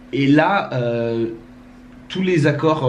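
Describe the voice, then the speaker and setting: A man's voice, with ordinary pitch variation, comes through audible room echo and noticeable background noise. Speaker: musician and songwriter. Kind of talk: casual chat.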